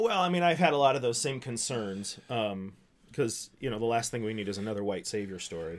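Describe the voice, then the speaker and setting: A man with an American accent speaks in a normal speaking voice at a medium pitch, moving at a fairly quick pace with lively intonation. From US, small town. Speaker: pastor. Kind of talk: casual chat.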